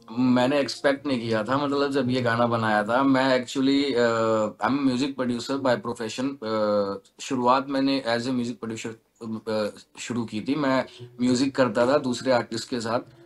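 The pace is fairly slow as a man talks. He keeps his intonation fairly even. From western Uttar Pradesh (Baghpat); Uttar Pradesh. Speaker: singer and music producer; interviewee. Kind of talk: interview. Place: studio. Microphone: video call.

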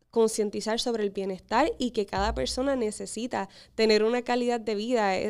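A woman with an unremarkable speaking voice, fairly high in pitch, at a moderate pace with fairly even intonation against a quiet background. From Puerto Rico, Corozal; Puerto Rico. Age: 20s. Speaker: beauty pageant contestant; guest. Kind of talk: interview. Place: studio. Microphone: studio mic.

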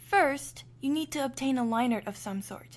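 At a moderate pace, a woman talks in a plain, everyday voice on a very clean recording with a silent background. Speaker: digital artist. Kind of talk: screen-recorded tutorial narration.

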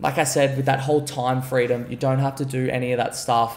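This is a man talking. He has an Australian accent. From Gold Coast, Australia; Queensland, Australia. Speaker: entrepreneur; podcast guest. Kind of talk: podcast interview. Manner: casual, filler-heavy. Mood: relaxed, confident. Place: home room. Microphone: studio mic.

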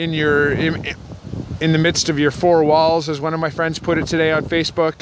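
A man speaks at a moderate pace in a flat, monotone delivery. The sound is dry with no echo, and background noise is noticeable. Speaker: vlogger talking about mental health. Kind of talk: casual vlog chat. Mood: calm, reflective. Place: forest. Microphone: phone near.

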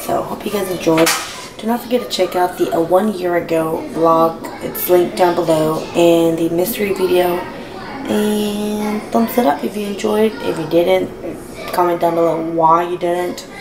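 A woman talks at a moderate pace with music playing behind her. Her voice is fairly low in pitch, with ordinary pitch variation. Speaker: home vlogger. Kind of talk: casual vlog chat. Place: kitchen. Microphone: phone near.

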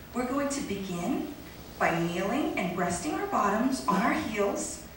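A woman speaks fairly slowly at a high pitch, her voice swinging very widely up and down. Noticeable background noise and strong room echo surround her. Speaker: comedic actress. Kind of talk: yoga class parody narration, scripted comedy sketch. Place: stage. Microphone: camera far.

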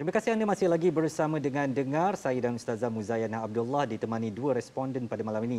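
A man's very fast speech in a dark, mellow tone with lively intonation. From Malaysia. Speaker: TV talk show host. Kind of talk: scripted narration; studio talk show. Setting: TV studio. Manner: formal. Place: studio. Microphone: lapel.

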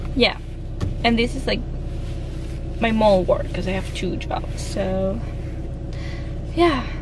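A woman at a fairly slow pace with long, frequent pauses, the sound dry with no echo amid noticeable background noise. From Dominican Republic. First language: Spanish. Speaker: vlogger. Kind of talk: casual vlog talk to camera. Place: car. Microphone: phone near.

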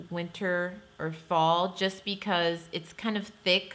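This is a woman speaking. Her pitch variation is ordinary. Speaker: beauty vlogger. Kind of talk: casual product review chat. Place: home room.

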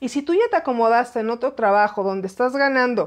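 A woman talks in an animated tone at a high pitch, with ordinary pitch variation. Her pace is moderate, and the background is quiet. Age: 40s. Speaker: aviation commentator, former flight attendant; aviation commentator. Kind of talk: live-stream commentary. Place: home room. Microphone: phone near.

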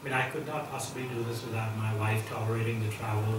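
A man with an American accent speaks at a fairly quick pace, with audible room echo and noticeable background noise. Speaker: investor and school entrepreneur. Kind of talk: Q&A talk at an event. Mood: relaxed, friendly. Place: hall.

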